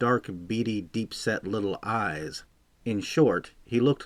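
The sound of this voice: This is an unforced reading voice. It is the only trait noted.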